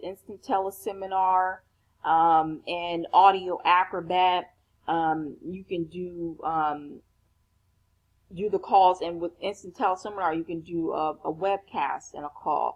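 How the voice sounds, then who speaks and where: At a fairly slow pace, a woman of medium pitch talks with big swings in loudness. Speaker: online business coach. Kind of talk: tutorial. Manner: halting, many fillers.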